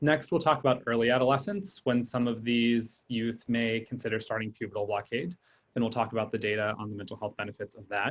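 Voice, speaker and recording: A man talks at a fairly quick pace in a medium pitch. His pitch varies in an ordinary way. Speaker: psychiatrist and researcher. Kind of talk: lecture. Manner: fast.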